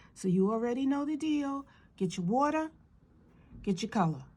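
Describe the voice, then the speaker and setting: A woman talks in an animated tone, her voice somewhat breathy. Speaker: art instructor. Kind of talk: tutorial. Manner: slow.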